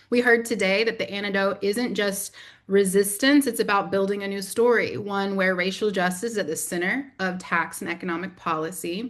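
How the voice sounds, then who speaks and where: Speaking with a Southern US accent and ordinary pitch variation, the voice runs on with hardly any pauses. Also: woman, medium pitch for a woman. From US South. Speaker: community organizer, briefing moderator. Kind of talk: webinar moderation. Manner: fast.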